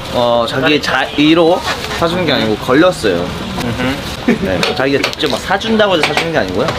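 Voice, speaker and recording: Speech at a fairly quick pace plays over loud background noise. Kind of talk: casual live stream chat. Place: home room. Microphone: phone near.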